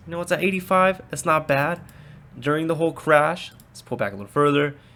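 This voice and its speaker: Bright, sharp tone from a man, with ordinary pitch variation. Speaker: stock investing youtuber. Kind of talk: casual talk to camera.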